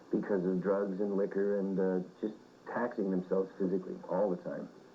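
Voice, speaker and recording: In a normal speaking voice with a Canadian accent, a man talks at a fairly quick pace with a fairly low pitch. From Winnipeg, Canada. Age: 30s. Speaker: rock singer. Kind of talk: interview answer. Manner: casual, reflective.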